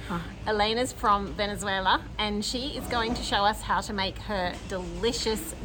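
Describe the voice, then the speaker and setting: A woman is talking rather slowly. Music can be heard behind her. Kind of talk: casual cooking chat interview. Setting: cafe kitchen.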